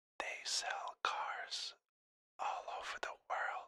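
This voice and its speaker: A man whispers at a very slow pace. The sound is dry and close, with no echo. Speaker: ASMR creator. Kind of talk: ASMR whisper about a topic. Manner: whispered, soft-spoken.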